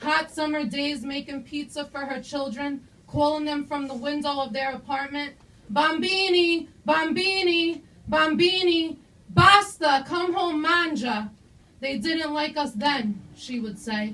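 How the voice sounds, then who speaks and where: A woman speaks in a raised, projected voice with a bright, sharp tone. Her pace is fairly slow, and her pitch varies in an ordinary way. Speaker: student poet. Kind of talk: poetry reading. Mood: earnest, emotional. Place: stage. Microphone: camera far.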